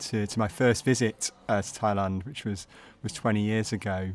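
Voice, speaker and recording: A man speaks with a Manchester accent at a fairly low pitch. His pace is moderate, with ordinary pitch variation. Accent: Manchester-area English. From northern England, Altrincham. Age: 40s. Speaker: charity chief executive. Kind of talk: casual interview.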